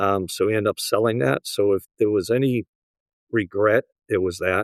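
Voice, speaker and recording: A man with a Boston accent speaks at a fairly low pitch with ordinary pitch variation. The background is quiet. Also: dry, close sound with no echo. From US Northeast, Boston area. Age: 70s. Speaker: real estate broker and appraiser. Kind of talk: interview conversation.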